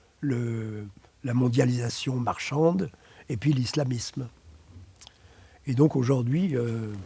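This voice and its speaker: A man speaks very slowly with a dark, mellow tone and a somewhat breathy voice at a medium pitch. He uses ordinary pitch variation and takes long, frequent pauses. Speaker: psychotherapist. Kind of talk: interview. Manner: halting, many hesitations.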